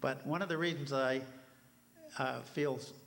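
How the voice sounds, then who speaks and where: Speaking at a moderate pace, a man uses a fairly high pitch with ordinary variation. Audible room echo and noticeable background noise fill the recording. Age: 80s+. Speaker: helicopter museum representative. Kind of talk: conference talk. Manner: halting, many fillers.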